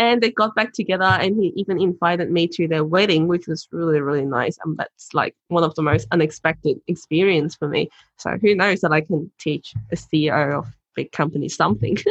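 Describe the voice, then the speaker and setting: A woman speaks with a Cantonese accent at a fairly quick pace. Her pitch sits fairly low. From Hong Kong. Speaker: author and sales professional. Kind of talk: interview.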